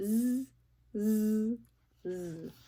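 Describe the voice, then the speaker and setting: A female-sounding voice, fairly high in pitch, puts on a character voice. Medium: read story.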